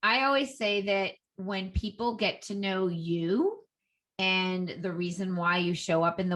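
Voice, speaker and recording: A Boston accent against a quiet background. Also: woman. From Boston area, US. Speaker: Instagram expert, entrepreneur. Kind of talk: interview.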